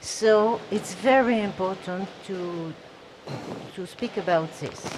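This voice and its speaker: Against noticeable background noise, a woman at a medium pitch speaks at a very slow pace. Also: ordinary pitch variation. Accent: non-native. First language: not English. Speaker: audience member. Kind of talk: audience question. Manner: halting.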